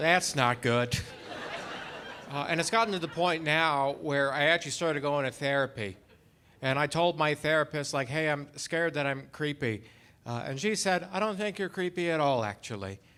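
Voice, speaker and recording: A man is speaking, and his tone is bright and sharp. His pitch sits fairly high. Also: ordinary pitch variation, moderate pace. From Canada, Alberta. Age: 30s. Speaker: stand-up comedian. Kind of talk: stand-up. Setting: stage with audience. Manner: halting.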